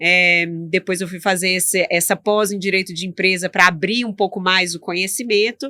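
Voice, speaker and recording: With a bright, sharp tone and fairly even intonation, a woman talks at a moderate pace. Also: medium pitch for a woman, dry, close sound with no echo. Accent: Minas Gerais. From Minas Gerais, Brazil. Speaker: tax lawyer. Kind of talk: interview.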